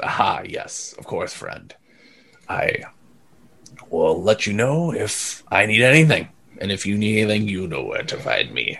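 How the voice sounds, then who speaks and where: Using a put-on character voice, a man speaks at a moderate pace, broken by long, frequent pauses. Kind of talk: fantasy tabletop game master voice. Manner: formal, reassuring.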